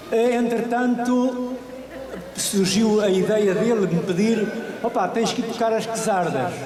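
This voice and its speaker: Speaking at a very slow pace, a man with a high pitch keeps his intonation fairly even and his loudness very even, with audible room echo and noticeable background noise. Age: 70s. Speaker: musician at book launch. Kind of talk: public speech at event.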